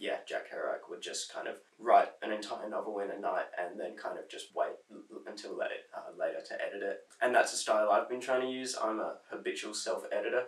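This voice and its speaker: A man with an Australian accent talks at a fairly quick pace over noticeable background noise. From South Australia. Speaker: poet. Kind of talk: interview answer. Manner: casual, hesitant.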